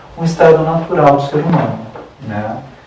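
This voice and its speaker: A man is speaking in a room with audible echo. Noticeable background noise can be heard. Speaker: holistic therapy lecturer. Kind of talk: lecture.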